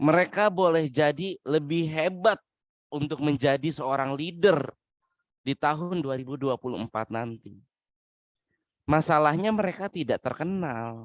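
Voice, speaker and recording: A man's fairly high voice at a fairly slow pace, with ordinary pitch variation and a dry, close sound with no echo. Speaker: webinar speaker, doctoral student. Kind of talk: webinar lecture.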